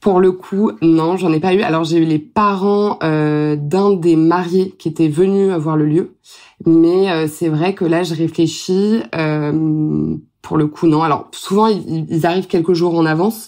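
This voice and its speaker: A woman speaks in a fairly low voice. Her pace is very slow. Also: fairly even intonation. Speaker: wedding planner. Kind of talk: podcast interview. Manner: hesitant, many fillers.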